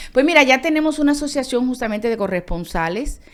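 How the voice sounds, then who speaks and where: A woman speaks with a Dominican accent and lively intonation. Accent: Dominican accent noticeable in Colombia. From Dominican Republic. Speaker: foreign correspondent journalist. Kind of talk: interview conversation.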